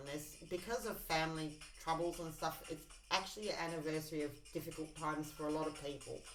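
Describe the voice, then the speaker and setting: Over music in the background, a woman speaks at a fairly quick pace and a fairly low pitch, with audible room echo. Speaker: tarot and oracle card reader. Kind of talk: intuitive card reading to camera.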